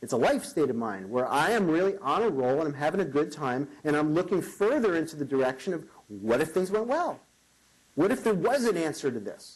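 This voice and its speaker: With an American accent and an animated tone, a man speaks at a fairly quick pace in a fairly high pitch, his voice making very wide pitch swings. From New York. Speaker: motivational keynote speaker. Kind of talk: keynote speech.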